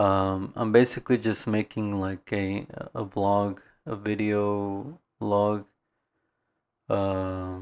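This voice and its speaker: Very slow with long, frequent pauses, a man speaks at a fairly low pitch with fairly even intonation in a very clean recording with a silent background. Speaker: vlogger practicing speaking. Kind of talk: casual vlog monologue. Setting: talking to camera. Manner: halting, many fillers and pauses; soft-spoken, reserved.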